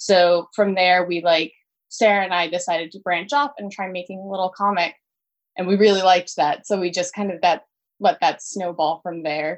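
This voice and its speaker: Against a quiet background, a woman with an American accent uses a plain, everyday voice at a medium pitch, her intonation fairly even but her loudness swinging widely. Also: moderate pace. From Pennsylvania. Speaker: cartoonist. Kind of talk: interview.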